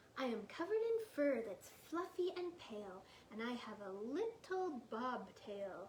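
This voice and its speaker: Over light background noise, a woman uses a put-on character voice, squeaky and high in pitch, with very wide pitch swings at a moderate pace. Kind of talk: bedtime story. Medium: read story. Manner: playful, teasing.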